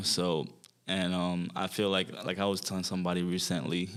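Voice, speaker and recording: Here a man talks at a fairly quick pace. His pitch is very deep and low, and his intonation is monotone and flat. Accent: Haitian. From Haiti. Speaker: fitness trainer. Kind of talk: interview conversation. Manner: hesitant, many fillers.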